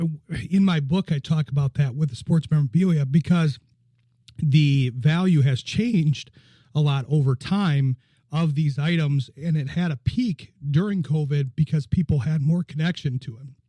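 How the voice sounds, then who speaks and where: A man speaks at a moderate pace in a dark, mellow, somewhat breathy tone with a fairly high pitch and ordinary pitch variation. The sound is dry and close, with no echo. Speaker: radio sports show host and author. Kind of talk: radio interview.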